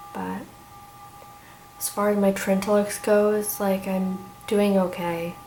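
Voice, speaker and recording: A soft-spoken woman talks very slowly and flatly, with long, frequent pauses and big swings in loudness, amid noticeable background noise and audible room echo. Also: medium pitch for a woman. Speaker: vlogger. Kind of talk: casual chat. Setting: at home. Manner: halting. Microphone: may be too quiet.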